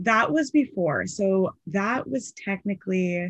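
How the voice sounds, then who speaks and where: Somewhat breathy and at a medium pitch, a woman with an American accent talks at a very slow pace in a very clean recording with a silent background. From Seattle, US Pacific Northwest. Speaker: swimwear brand founder. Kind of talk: interview.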